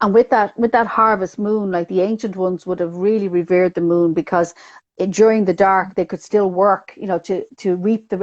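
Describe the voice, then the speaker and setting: In a Dublin accent, a woman talks at a fairly quick pace with fairly even intonation. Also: dry, close sound with no echo, quiet background. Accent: Dublin Irish. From Ireland, Dublin. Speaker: numerologist. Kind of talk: casual interview chat.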